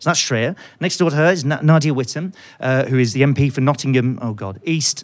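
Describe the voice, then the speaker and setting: A man speaks with a British accent at a fairly quick pace. His pitch varies in an ordinary way. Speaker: economics podcast host. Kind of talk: live panel discussion. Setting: stage with audience.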